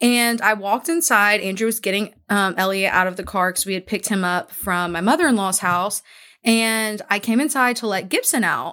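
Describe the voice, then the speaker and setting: On a very clean recording with a silent background, a woman speaks in an animated way at medium pitch with a bright, sharp tone. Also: ordinary pitch variation, moderate pace. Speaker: podcast co-host. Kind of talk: casual chat. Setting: recording at home.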